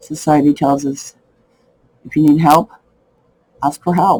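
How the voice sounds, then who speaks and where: A man speaks very slowly in a fairly high voice with ordinary pitch variation, the sound dry and close with no echo. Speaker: personal testimony speaker. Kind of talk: raw personal testimony to camera.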